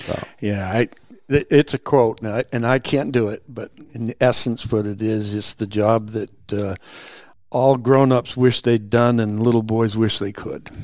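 A man speaks at a medium pitch in a New England accent. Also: fairly even intonation, fairly slow pace. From New Hampshire, Lakes Region. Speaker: retired game warden and outdoor guide. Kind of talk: casual interview. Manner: halting, repeats words.

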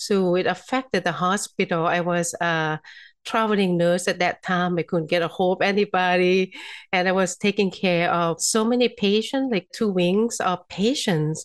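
A woman with a Thai accent speaks at a moderate pace and medium pitch, with ordinary pitch variation, very even loudness, and a quiet background. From Thailand. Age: 50s. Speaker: physician and energy healer. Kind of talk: interview.

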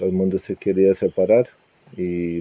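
The sound is dry and close, with no echo. The pace is fairly slow. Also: man. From Serbia. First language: Serbian (speaking Spanish). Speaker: immigrant interviewee. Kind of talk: interview testimony. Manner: halting, repeated words.

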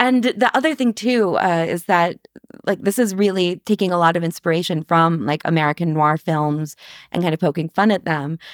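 A woman talks in an ordinary speaking voice, fairly low in pitch with ordinary pitch variation, at a moderate pace. The sound is dry and close with no echo, in a very clean recording with a silent background. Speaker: podcast host and novelist.

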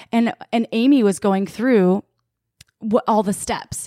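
Recorded very cleanly against a silent background, a woman with an American accent and an unremarkable speaking voice talks at a moderate pace with fairly even intonation in a dry, close sound with no echo. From Wisconsin. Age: 30s. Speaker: sex toy company sales head and podcast co-host. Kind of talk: casual chat.

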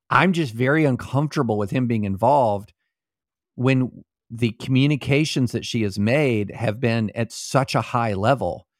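A man with an ordinary speaking voice and medium pitch talks at a moderate pace with ordinary pitch variation on a very clean recording with a silent background. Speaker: podcast co-host on law and politics. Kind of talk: casual chat and interview.

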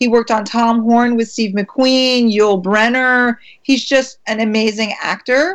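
A woman with an American accent and an unremarkable speaking voice, fairly high in pitch, at a fairly slow pace with hardly any pauses and fairly even intonation. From US, Maryland. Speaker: actress. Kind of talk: interview.

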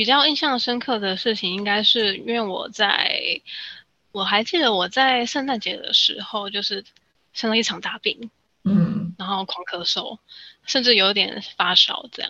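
A woman with a normal speaking voice, a fairly high pitch, ordinary pitch variation and a moderate pace. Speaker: study-abroad consultant. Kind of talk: casual interview chat.

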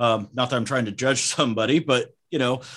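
This man has a plain, everyday voice with an American accent, speaking at a medium pitch and a fairly quick pace. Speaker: car audio shop owner.

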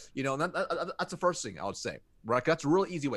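The voice carries an American accent. Its background is quiet. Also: man. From United States. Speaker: sales consultant. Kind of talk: interview. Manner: animated.

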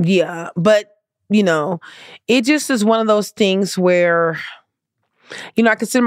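A woman speaks in an animated tone at a moderate pace with ordinary pitch variation. The recording is very clean with a silent background and a dry, close sound with no echo. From US West Coast, Compton, Los Angeles. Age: 50s. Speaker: homeless advocate. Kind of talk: casual chat. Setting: studio.

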